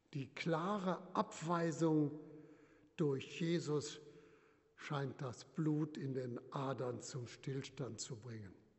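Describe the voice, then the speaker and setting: Somewhat breathy, a man speaks at a very slow pace with a fairly high pitch and ordinary pitch variation. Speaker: retired bishop preaching. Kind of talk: sermon in church, measured pulpit delivery, solemn and earnest. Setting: church. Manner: formal; measured, rhetorical, emphatic with repetition.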